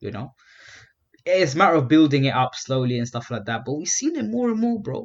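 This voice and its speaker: A man with an unremarkable speaking voice, medium pitch and lively intonation. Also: fairly quick pace. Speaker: podcast co-host. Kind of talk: casual chat, banter.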